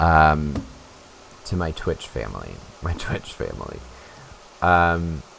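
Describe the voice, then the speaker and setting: Pausing long and often, a man with a very deep, low pitch speaks at a very slow pace with ordinary pitch variation, while noticeable background noise plays behind him. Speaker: streamer. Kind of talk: live stream gameplay chat.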